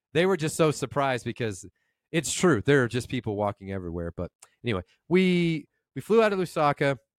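This man talks at a fairly quick pace in an animated tone, his fairly high pitch swinging very widely, on a very clean recording with a silent background. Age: 50s. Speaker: podcast co-host. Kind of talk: casual chat.

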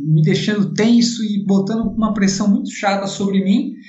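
Fairly slow male speech, audible room echo, and noticeable background noise. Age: 40s. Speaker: racing driver and driving instructor. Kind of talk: casual interview.

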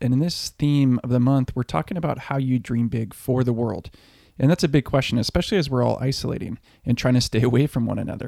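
Over a silent background in a very clean recording, a man speaks at a very fast pace with ordinary pitch variation and a dark, mellow tone, the sound dry and close with no echo. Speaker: podcast co-host. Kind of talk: podcast intro and outro.

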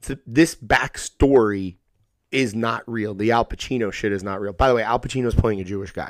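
With a normal speaking voice at a medium pitch, a man talks at a fairly quick pace and fairly even intonation, recorded very cleanly over a silent background. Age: 30s. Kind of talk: casual chat.

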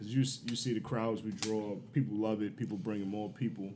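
Audible room echo surrounds a dark, mellow tone with ordinary pitch variation. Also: man. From Baltimore, US. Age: 30s. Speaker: military veteran and show promoter. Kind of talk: casual chat.

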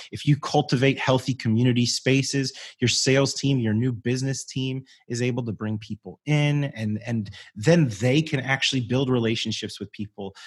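Over a quiet background, a man speaks at a moderate pace in a somewhat breathy, medium-pitched voice with fairly even intonation. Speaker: community strategist and voiceover artist. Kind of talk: casual interview chat.

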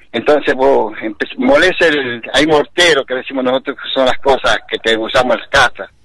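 Over noticeable background noise, a man with a fairly high pitch speaks with big swings in loudness. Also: fairly even intonation, moderate pace. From Santiago del Estero, Argentina. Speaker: basket weaver artisan. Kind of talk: casual interview.

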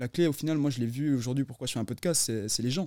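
A man speaks at medium pitch in an ordinary speaking voice. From Neuchâtel, Switzerland. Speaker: podcast co-host. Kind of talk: casual chat.

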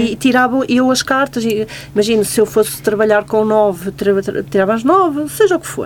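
Against noticeable background noise, a woman talks at a fairly quick pace in a fairly high voice with very wide pitch swings. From Portugal. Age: 40s. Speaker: tarot card reader. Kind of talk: radio interview. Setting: studio.

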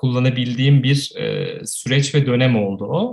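An ordinary speaking voice goes at a fairly slow pace with fairly even intonation. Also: man. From Turkey, Ankara. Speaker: photographer. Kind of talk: casual interview.

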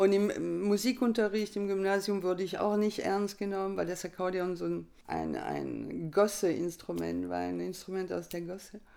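A woman speaks with a French accent at a moderate pace. She hardly pauses at all. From France. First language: French (speaking German). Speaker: accordionist. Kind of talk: interview.

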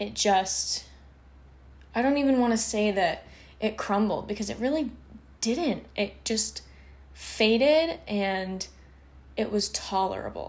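A woman speaks very slowly at a medium pitch, in a somewhat breathy voice with ordinary pitch variation. She leaves long, frequent pauses. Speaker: podcast host. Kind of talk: casual monologue. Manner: casual, rambling with fillers.

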